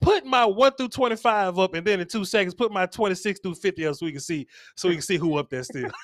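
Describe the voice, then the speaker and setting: Talking at a very fast pace, a man with a high pitch uses lively intonation and an animated tone, in a dry, close sound with no echo. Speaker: sports talk host. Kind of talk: live sports talk stream.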